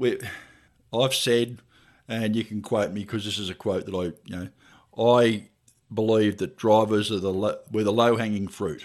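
Speaking with an Australian accent at a moderate pace, a man with fairly low pitch keeps his intonation fairly even on a very clean recording over a silent background. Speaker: truck driver and podcast co-host. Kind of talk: casual interview chat.

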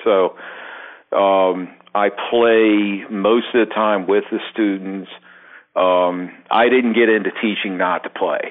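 In a Baltimore accent, a man with a fairly low pitch speaks very slowly, with monotone, flat intonation and very even loudness. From Baltimore, Maryland. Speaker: drum teacher. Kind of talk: casual chat.

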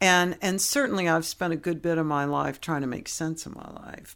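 In a very clean recording with a silent background, a woman with an American accent talks at a moderate pace in an unremarkable speaking voice, her pitch fairly low. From US West Coast, San Francisco Bay Area. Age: 60s. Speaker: interview guest. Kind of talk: casual interview conversation.

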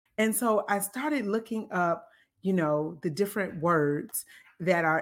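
A woman with a normal speaking voice and medium pitch talks at a fairly slow pace with lively intonation, in a very clean recording with a silent background. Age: 30s. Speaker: podcast host. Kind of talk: faith-based monologue. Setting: live taping.

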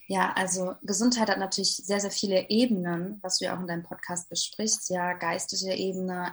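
Somewhat breathy and flat in intonation, a woman speaks in a monotone at a fairly quick pace. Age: 20s. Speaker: life coach. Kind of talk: interview.

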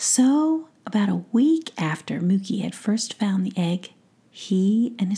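The delivery is plain reading aloud, carried by lively intonation.

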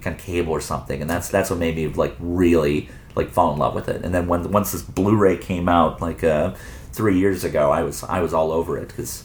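With an American accent, a man speaks fairly quickly at a very deep, low pitch. Noticeable background noise runs underneath. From Arizona, suburbs of Phoenix. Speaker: video store owner and filmmaker. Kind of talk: casual chat. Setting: in a video store. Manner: halting, many repetitions.

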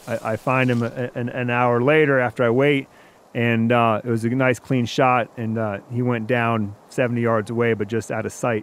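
A man with an American accent speaks at a medium pitch and fairly slow pace, in a monotone, flat way. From Wisconsin, US. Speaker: outdoor media hunter. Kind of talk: storytelling.

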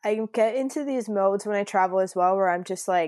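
A woman speaks with a Canadian accent at a medium pitch. She has an ordinary speaking voice. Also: quiet background. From Canada, Niagara Falls (Ontario). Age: 20s. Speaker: travel entrepreneur, digital nomad. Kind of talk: casual interview chat.

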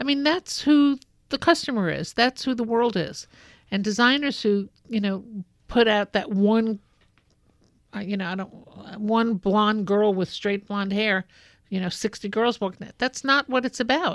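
A woman with an American accent speaks at a fairly slow pace in a fairly high pitch with ordinary pitch variation, on a very clean recording with a silent background and a dry, close sound with no echo. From New York City (Brooklyn). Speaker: fashion industry consultant. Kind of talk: interview.

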